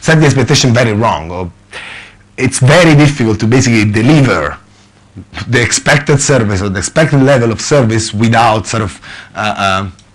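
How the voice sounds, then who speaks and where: This man has an Italian accent and a medium pitch. He talks at a fairly quick pace with lively intonation. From Italy. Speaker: software consultant manager. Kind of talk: conference talk. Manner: hesitant, many fillers.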